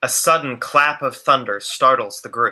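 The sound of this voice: At a moderate pace, a man speaks with a bright, sharp tone. His pitch sits at a medium level with ordinary variation.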